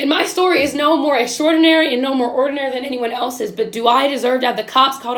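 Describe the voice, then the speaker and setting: Loud and passionate, a woman talks at a very fast pace amid audible room echo. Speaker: video podcast host. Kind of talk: impassioned monologue. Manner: passionate, emphatic.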